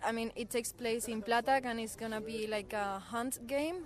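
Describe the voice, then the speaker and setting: A woman with a Spanish accent talks at a moderate pace in a fairly high pitch, keeping her intonation fairly even. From southern Spain, near Seville. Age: 20s. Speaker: volunteer. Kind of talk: radio interview.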